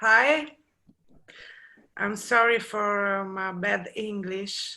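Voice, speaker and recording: In an Italian accent, a woman speaks at a very slow pace with a bright, sharp tone. Her pitch is medium, with ordinary variation. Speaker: artist. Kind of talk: artwork presentation on video call. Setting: video call. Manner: halting, hesitant.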